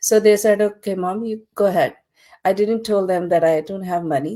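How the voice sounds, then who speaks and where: In a very clean recording with a silent background, a woman's dark, mellow, medium-pitched voice shows ordinary pitch variation. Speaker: digital business owner. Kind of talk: testimony. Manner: halting.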